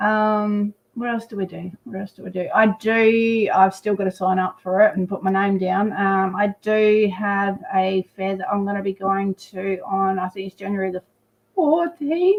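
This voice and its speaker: A woman with an Australian accent at a medium pitch, fairly slow pace and fairly even intonation, with big swings in loudness. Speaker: psychic reader. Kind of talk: casual chat. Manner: halting, many fillers.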